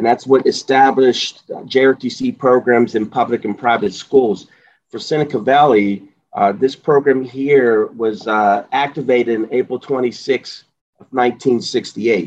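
At a fairly slow pace, a man with an American accent and an unremarkable speaking voice talks at medium pitch with fairly even intonation. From Pittsburgh area, US. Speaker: JROTC instructor, retired army sergeant. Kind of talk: interview.

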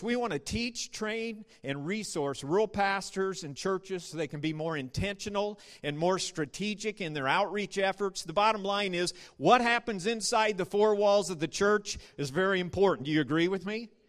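In a very clean recording with a silent background, a man with an American accent speaks at a moderate pace in a high pitch, with ordinary pitch variation. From US Midwest, north central Nebraska. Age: 50s. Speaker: rural ministry leader. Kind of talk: sermon.

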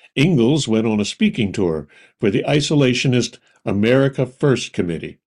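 A man with an ordinary speaking voice uses lively intonation and a moderate speed, captured in a very clean recording with a silent background. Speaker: podcast narrator. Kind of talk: true-crime narration. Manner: measured, storytelling delivery with dry, wry edge; clear, even-paced, authoritative.

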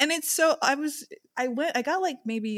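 With a plain, everyday voice, a woman talks at a moderate pace and with lively intonation, the sound dry and close with no echo. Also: very clean recording, silent background. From Long Island, New York. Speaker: film podcast co-host. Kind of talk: casual chat.

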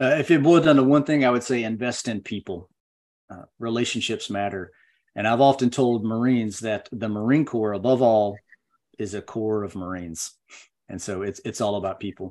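Over a quiet background, a man in an ordinary speaking voice talks at medium pitch and a moderate pace, with ordinary pitch variation and big swings in loudness. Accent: American. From US South, Western North Carolina. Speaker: retired Marine veteran. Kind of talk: interview, personal war story.

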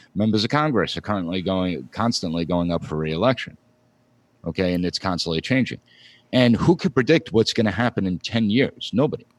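A man with an ordinary speaking voice, fairly low pitch and an American accent talks at a fairly quick pace with lively intonation, in a very clean, silent recording with a dry, close sound and no echo. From Long Island, New York. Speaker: political science professor. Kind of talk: interview.

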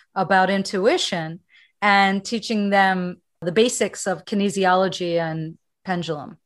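A woman with an ordinary speaking voice talks at a medium pitch and a moderate pace. Her intonation is fairly even against a quiet background. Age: 60s. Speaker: meditation teacher. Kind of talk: interview.

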